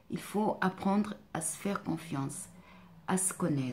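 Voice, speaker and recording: A woman's fairly low, somewhat breathy voice has a dark, mellow tone and ordinary pitch variation. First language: not French (speaking French). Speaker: life coach and therapist. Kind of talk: vlog monologue. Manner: hesitant, many fillers.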